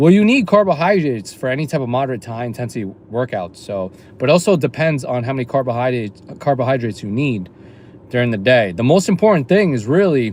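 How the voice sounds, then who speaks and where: Very fast male speech with lively intonation. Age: 30s. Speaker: fitness trainer and streamer. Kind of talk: casual livestream chat. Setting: in a car.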